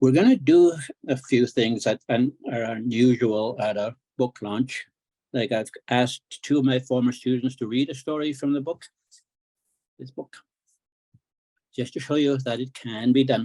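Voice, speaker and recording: A man speaks at a moderate pace with a dark, mellow tone and fairly even intonation. Long, frequent pauses break up his speech, and the sound is dry and close with no echo. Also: medium pitch for a man. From northern Saskatchewan, Cree community. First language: Cree. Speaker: author and Cree language teacher. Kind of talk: book launch talk.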